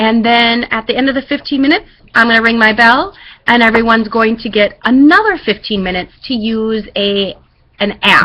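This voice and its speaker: A woman's fairly high, bright, sharp voice at a fairly quick pace, with ordinary pitch variation. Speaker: schoolteacher. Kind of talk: classroom instructions. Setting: webcam recording. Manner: fast.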